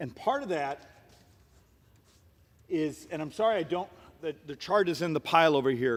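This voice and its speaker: The speaker uses lively intonation and leaves long, frequent pauses. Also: man, fairly high pitch for a man. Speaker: congressman. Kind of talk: floor speech. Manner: fast.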